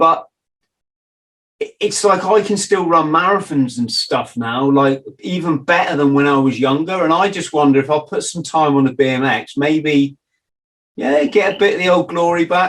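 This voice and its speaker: With an English accent, a man speaks at a moderate pace in a fairly high pitch and ordinary pitch variation. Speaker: podcast host. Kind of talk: casual interview chat.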